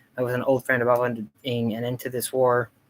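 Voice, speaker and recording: A man's medium-pitched voice with monotone, flat intonation. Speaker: streamer recapping a TV show. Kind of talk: live stream commentary. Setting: live stream. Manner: fast; halting, many fillers.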